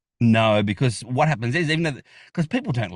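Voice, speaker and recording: Vocal fry runs through this very fast delivery, set against a quiet background. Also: man. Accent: Australian. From Australia. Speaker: geocaching vlogger. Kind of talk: casual chat. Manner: animated.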